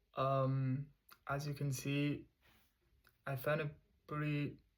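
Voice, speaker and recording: A man's fairly high, somewhat breathy voice with a non-native accent, at a very slow pace. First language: not English. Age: 20s. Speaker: vlogger. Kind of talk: casual monologue to camera. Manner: halting.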